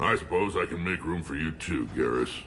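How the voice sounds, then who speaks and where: A put-on character voice rattles along at a fairly quick pace. Clear background noise sits behind it. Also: man. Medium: video game. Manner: gruff, blunt.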